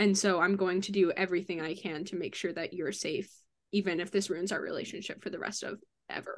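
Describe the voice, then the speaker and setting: A woman's plain, everyday voice, medium in pitch, at a moderate pace with fairly even intonation. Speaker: actor and editor on actual-play podcast. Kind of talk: casual chat.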